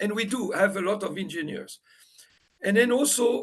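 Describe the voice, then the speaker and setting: With a non-native accent, a man speaks at a moderate pace in a high pitch, his intonation fairly even. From Morocco. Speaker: panel respondent. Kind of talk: panel discussion.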